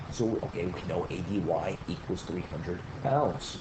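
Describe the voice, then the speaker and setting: Over noticeable background noise, a man talks with a very deep, low pitch and ordinary pitch variation. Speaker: engineering instructor. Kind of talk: tutorial. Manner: fast.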